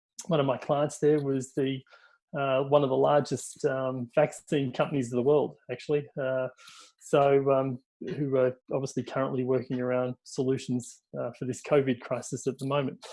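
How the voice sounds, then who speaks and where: Keeping a moderate pace, a man speaks at medium pitch with monotone, flat intonation. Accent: Australian. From Australia. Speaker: tech industry executive. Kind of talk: webinar panel presentation. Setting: online webinar. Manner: hesitant, many fillers.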